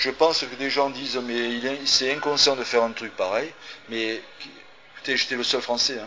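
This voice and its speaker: Noticeable background noise sits behind a man speaking at a medium pitch and moderate pace with fairly even intonation. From France. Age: 50s. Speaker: embalmer and author. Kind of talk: interview. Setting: cinema.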